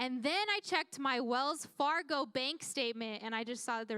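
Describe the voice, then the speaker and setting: Lively intonation and a high pitch mark this woman's speech. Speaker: youth pastor. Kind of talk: sermon. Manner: fast; casual.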